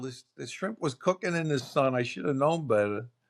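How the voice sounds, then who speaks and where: A man with a Brooklyn accent. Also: dry, close sound with no echo. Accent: New York (Brooklyn). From New York City (Brooklyn). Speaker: podcast guest. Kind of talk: casual chat.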